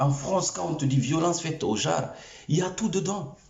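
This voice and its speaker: Audible room echo surrounds a man with an African accent who talks at a moderate pace with lively intonation. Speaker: YouTube commentator. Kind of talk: opinion rant to camera. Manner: animated.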